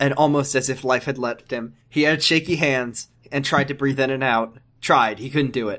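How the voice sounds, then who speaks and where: A man's medium-pitched voice, animated, with a bright, sharp tone, at a moderate pace, on a very clean recording with a silent background. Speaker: podcast co-host. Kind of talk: casual comedic banter, reading fiction aloud. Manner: animated, jokey, does character voices.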